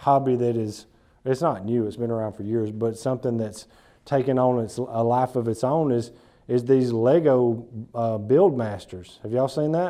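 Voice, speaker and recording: Dark, mellow tone in an Alabama accent, at a moderate pace with ordinary pitch variation. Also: man. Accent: Alabama Southern US. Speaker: business speaker. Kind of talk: talk to a small group. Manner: casual, repetitive false starts.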